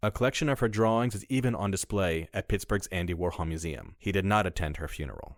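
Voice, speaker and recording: A man with a fairly low pitch talks at a very fast pace with hardly any pauses and lively intonation. The recording is very clean, with a silent background. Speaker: voice artist. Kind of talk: documentary narration.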